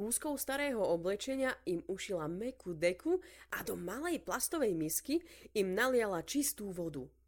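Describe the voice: The clip consists of plain reading aloud.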